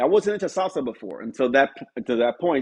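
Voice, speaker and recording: Lively intonation runs through a man's fairly high-pitched voice. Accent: New York. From New York City, Spanish Harlem. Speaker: music producer and pianist. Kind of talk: interview conversation.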